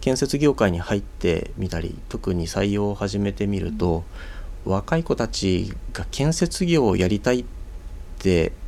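Dark and mellow, a man's voice sits at a fairly low pitch with very wide pitch swings. He speaks at a fairly slow pace. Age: 30s. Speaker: construction company executive. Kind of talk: radio interview. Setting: studio.

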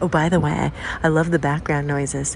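Noticeable background noise can be heard. Over it, a woman talks at a moderate pace. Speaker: listener. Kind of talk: recorded voice message.

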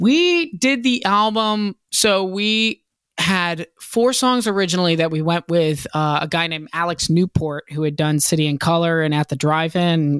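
A man with an American accent and high pitch, ordinary pitch variation and moderate pace, in a dry, close sound with no echo. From Virginia (Hampton), US South. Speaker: rock band singer. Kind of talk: casual interview chat.

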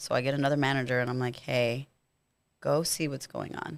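A woman with an American accent talks in a very clean recording against a silent background. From Rio Grande Valley, Texas (Harlingen). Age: 30s. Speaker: strip club manager. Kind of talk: casual chat. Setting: studio.

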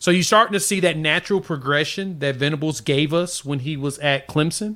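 Very fast and bright, sharp in tone, a man's voice moves with ordinary pitch variation. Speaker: sports commentator guest. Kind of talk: casual sports chat.

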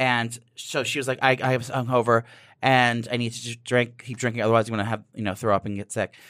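A man's medium-pitched voice with an American accent, very fast and monotone with flat intonation, on a very clean recording with a silent background. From New Jersey, near New York City. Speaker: celebrity makeup artist and reality TV personality. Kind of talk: casual chat.

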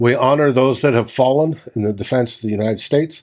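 A man in an ordinary speaking voice talks at a moderate pace with lively intonation. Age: middle-aged. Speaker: sports podcast host. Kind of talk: casual chat.

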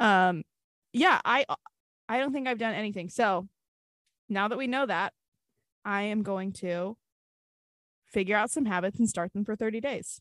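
At a moderate pace with ordinary pitch variation and long, frequent pauses, the voice sounds dry and close with no echo. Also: woman, fairly high pitch for a woman. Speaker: podcast co-host. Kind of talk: casual chat. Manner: animated.

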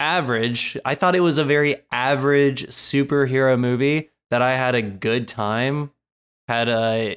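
In a normal speaking voice, a man talks at a medium pitch and a moderate pace with ordinary pitch variation. The recording is very clean, with a silent background. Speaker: DC fan co-host. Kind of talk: casual chat about a movie review.

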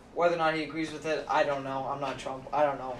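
The recording carries audible room echo and noticeable background noise. A man's voice comes through it. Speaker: college student. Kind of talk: casual chat.

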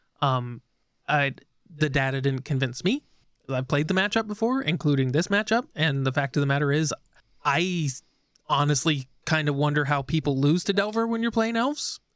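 A man with a normal speaking voice, fairly high in pitch, his loudness very even throughout. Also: lively intonation, moderate pace. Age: 30s. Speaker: podcast co-host. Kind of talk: casual chat.

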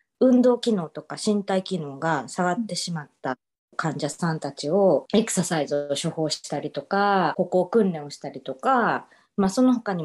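Against a quiet background, a woman with a plain, everyday voice speaks at a moderate pace and a fairly low pitch with lively intonation. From Japan, Osaka. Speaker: physical therapist, former ballet dancer. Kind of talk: interview.

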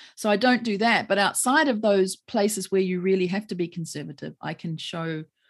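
A woman speaks with a New Zealand accent against a quiet background. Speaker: lawyer. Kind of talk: interview conversation.

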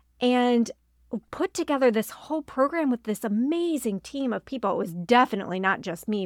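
A woman's normal speaking voice, fairly high in pitch, at a fairly quick pace with lively intonation, on a very clean recording with a silent background, dry and close with no echo. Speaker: pastor and ministry leader. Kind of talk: casual chat.

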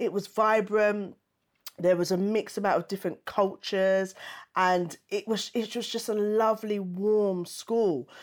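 In a very clean recording with a silent background, a woman with an East London accent speaks fairly slowly at a medium pitch, her intonation fairly even. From East London, England. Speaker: stand-up comedian and TV panelist. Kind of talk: interview conversation.

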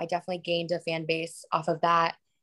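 Speaking at a very fast pace, a woman with an American accent has a fairly low pitch. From Florida, US South. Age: 20s. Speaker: influencer and model. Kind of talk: casual chat.

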